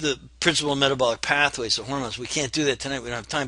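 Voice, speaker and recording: A man talks in a fairly high pitch. His tone is bright and sharp. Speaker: functional medicine educator. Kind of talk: webinar presentation. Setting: online webinar. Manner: fast.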